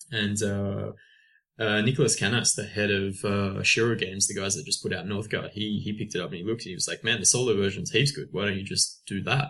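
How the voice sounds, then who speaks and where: Speaking very fast, a man uses a fairly low voice with a bright, sharp tone. His pitch varies in an ordinary way. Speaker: video game marketing and communications person. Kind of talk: podcast interview. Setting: remote call from France.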